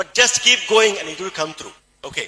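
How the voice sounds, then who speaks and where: In a Keralan accent, a man speaks at a high pitch with ordinary pitch variation. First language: Malayalam. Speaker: doctor and supplement promoter. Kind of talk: motivational sales talk.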